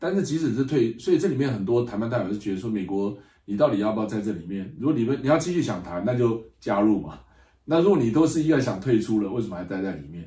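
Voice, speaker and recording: Talking at a very fast pace, a man's somewhat breathy voice has a dark, mellow tone and very wide pitch swings. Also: medium pitch for a man, very clean recording, silent background. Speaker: political science professor. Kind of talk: interview. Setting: Madrid, climate conference.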